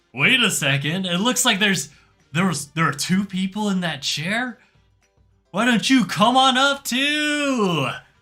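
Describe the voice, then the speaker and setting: Over faint background music, a man uses a put-on character voice, pitched high and delivered at a fairly slow pace. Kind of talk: rock concert hype. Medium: actual play. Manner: energetic, crowd-pumping.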